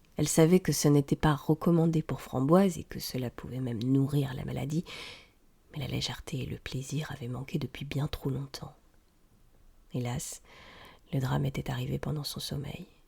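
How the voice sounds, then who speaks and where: A woman speaks at a moderate pace with a very deep, low pitch, a dark, mellow tone and vocal fry. Her intonation is fairly even, and she leaves long, frequent pauses. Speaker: audiobook reader. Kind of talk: tale reading, audiobook narration.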